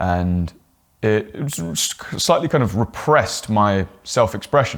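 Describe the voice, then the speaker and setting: The recording is very clean, with a silent background. A man speaks in a fairly low pitch. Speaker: voice and on-camera presence coach. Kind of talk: tutorial.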